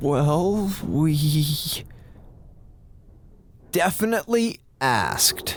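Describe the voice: At a very slow pace, a man with a fairly high pitch uses a put-on character voice with lively intonation.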